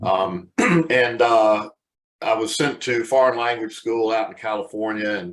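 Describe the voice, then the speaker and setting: A man at a fairly slow pace and medium pitch, with ordinary pitch variation and a normal speaking voice. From US South, Charlotte, North Carolina. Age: 60s. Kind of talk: webcast interview.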